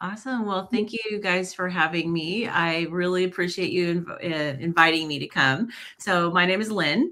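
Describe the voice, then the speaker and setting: A woman with a normal speaking voice talks at a fairly low pitch, with ordinary pitch variation and hardly any pauses. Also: moderate pace. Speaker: retired nurse, health channel creator. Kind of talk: casual chat.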